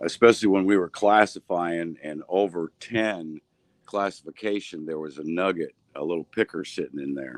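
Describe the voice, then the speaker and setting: Big swings in loudness and ordinary pitch variation come through a dry, close sound with no echo. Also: man, very deep, low pitch for a man, moderate pace. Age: 60s. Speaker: precious metals collector and gold panner. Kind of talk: casual chat.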